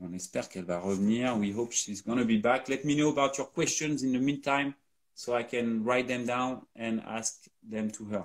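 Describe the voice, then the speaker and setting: A man speaks with a French accent at a medium pitch. His pace is fairly quick, with ordinary pitch variation. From France. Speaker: company co-founder hosting a live Q&A. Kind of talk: live stream Q&A.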